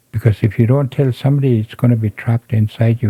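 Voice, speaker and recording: The voice is somewhat breathy with a dark, mellow tone and fairly even intonation, captured with a dry, close sound and no echo. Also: man. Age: 70s. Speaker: elder, residential school survivor. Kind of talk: interview, personal testimony.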